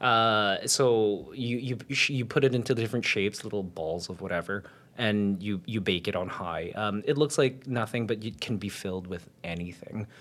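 Speaking at a moderate pace with hardly any pauses, a man uses an ordinary speaking voice, fairly low in pitch, with ordinary pitch variation. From Winnipeg, Canada. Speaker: amateur baker, baking show contestant. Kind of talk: casual interview chat.

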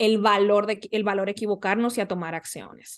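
A woman speaks at a moderate pace with medium pitch, an ordinary speaking voice. The background is quiet. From Dominican Republic. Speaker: life coach. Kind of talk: interview conversation.

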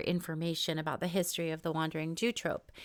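The woman's voice has a bright, sharp tone. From New York and Israel. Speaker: podcast host and author. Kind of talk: podcast interview; scripted narration. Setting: remote call.

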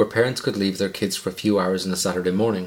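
Fairly low in pitch, a man speaks with fairly even intonation. The recording is very clean, with a silent background. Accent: Irish. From Ireland. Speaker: true crime podcast host. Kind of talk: scripted narration.

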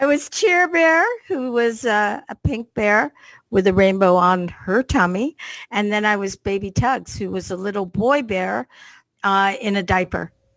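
Here is a woman with a Canadian accent in a normal speaking voice, medium in pitch and lively in intonation at a fairly slow pace. The sound is dry and close with no echo, on a very clean recording with a silent background. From Canada. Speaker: dance music artist. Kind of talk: casual chat.

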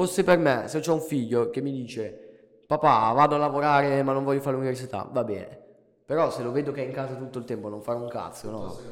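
A man speaks at a very fast pace and medium pitch. His pitch varies in an ordinary way amid audible room echo. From Italy. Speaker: amateur muay thai fighter, former rapper. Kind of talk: casual chat.

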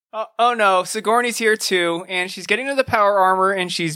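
At a moderate pace, a man talks in a raised, projected voice. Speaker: podcast co-host. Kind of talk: casual chat.

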